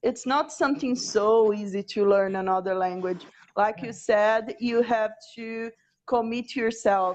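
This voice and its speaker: Delivered at a fairly slow pace with ordinary pitch variation, the speech comes with a Portuguese accent. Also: woman, fairly high pitch for a woman. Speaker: language teacher. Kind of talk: casual chat.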